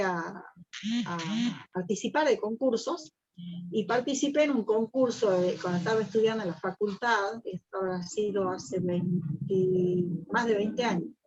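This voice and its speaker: A woman speaks in a plain, everyday voice at medium pitch. Her pitch variation is ordinary. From Argentina. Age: 60s. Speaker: poet and singer. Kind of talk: interview.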